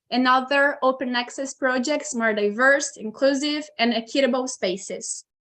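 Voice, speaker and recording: Speaking with a Brazilian Portuguese accent, a woman has a high pitch, ordinary pitch variation and a moderate pace. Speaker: history student and wiki project member. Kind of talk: conference presentation read from script. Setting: video call.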